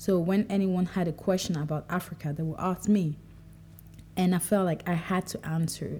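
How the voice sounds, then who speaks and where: The woman's somewhat breathy voice has a fairly low pitch and a dark, mellow tone. Her intonation stays fairly even. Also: moderate pace. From Cameroon, Douala. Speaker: podcaster. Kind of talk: solo monologue. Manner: casual, conversational.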